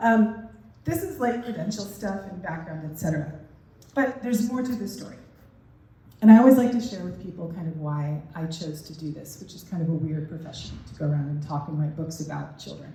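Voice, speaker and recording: Her voice fairly low, a woman speaks with lively intonation and big swings in loudness in a room with audible echo. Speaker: parenting educator and keynote speaker. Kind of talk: keynote speech. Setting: stage with audience. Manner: conversational, uses fillers.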